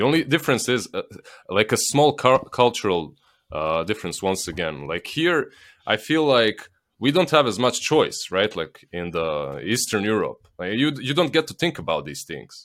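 A man with a Slavic accent, medium pitch, vocal fry and very wide pitch swings at a moderate pace, on a very clean recording with a silent background. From Bosnia. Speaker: esports caster. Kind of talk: casual chat.

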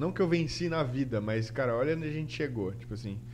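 A man's voice shows ordinary pitch variation against audible room echo. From Santa Catarina, Brazil (Guaramirim). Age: 30s. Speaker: designer and YouTuber. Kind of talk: casual interview chat.

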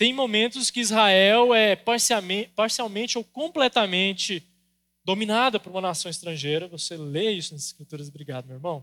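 Raising and projecting his voice, a man with a high pitch and a bright, sharp tone talks at a moderate pace with lively intonation and big swings in loudness, the sound dry and close with no echo. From Brazil, Goiás. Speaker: pastor. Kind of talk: sermon.

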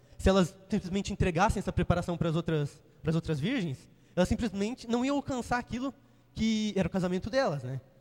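A man with a high pitch talks very fast. Lively intonation runs through his speech. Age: 20s. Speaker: lay preacher. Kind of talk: sermon. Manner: halting.

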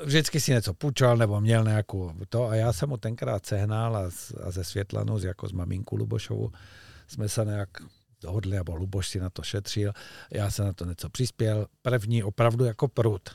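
A somewhat breathy male voice at a moderate pace with ordinary pitch variation, dry and close with no echo, in a very clean recording with a silent background. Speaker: fly fishing coach. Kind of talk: casual chat. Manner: animated.

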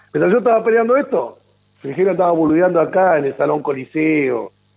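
Here is a man with an unremarkable speaking voice. His intonation is lively and his pace moderate. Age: 50s. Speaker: politician. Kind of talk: radio interview.

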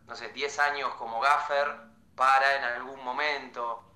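A fairly slow delivery in a Rioplatense accent. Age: 20s. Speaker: film student. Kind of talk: casual chat.

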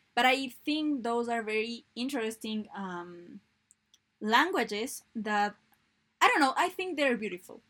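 In a Spanish accent, a woman speaks at a fairly high pitch with lively intonation. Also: fairly slow pace. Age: 20s. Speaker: university student. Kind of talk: casual chat. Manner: halting.

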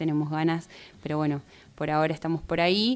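A woman with an ordinary speaking voice talks at a fairly quick pace, her pitch fairly low and her intonation fairly even. The recording is very clean, with a silent background. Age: 30s. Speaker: poet. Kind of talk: interview.

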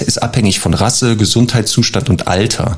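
Noticeable background noise sits behind a man's voice. He talks at a fairly slow pace with a fairly low pitch. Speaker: dog trainer. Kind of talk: advice segment.

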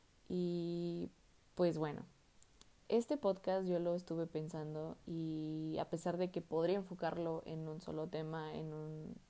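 A woman with a Mexican accent talks at a fairly slow pace in a dark, mellow tone. Her fairly low pitch follows fairly even intonation. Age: 20s. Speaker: student podcaster. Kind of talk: casual monologue.

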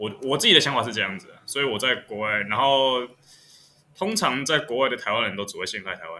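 A fairly quick man's voice at a medium pitch, with lively intonation and big swings in loudness. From Taiwan. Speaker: podcast co-host. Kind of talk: casual chat.

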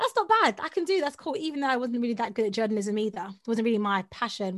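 A high-pitched woman with a South London accent and an animated tone, at a very fast pace in a very clean recording with a silent background. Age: 30s. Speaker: voiceover artist and audio producer. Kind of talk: casual interview chat. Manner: fast talker; animated, laughs often.

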